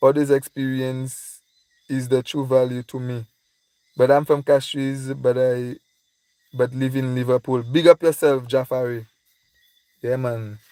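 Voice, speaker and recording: A man speaks in a dark, mellow tone with flat, monotone intonation. The sound is dry and close, with no echo. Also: very clean recording, silent background. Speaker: vlogger and tour guide. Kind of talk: livestream chat reading comments. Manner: casual, repetitive.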